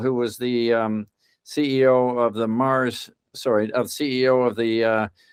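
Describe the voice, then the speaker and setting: A man talks at a moderate pace and medium pitch. He has an ordinary speaking voice. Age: 60s. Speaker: corporate board director, governance expert. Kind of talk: interview. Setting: podcast.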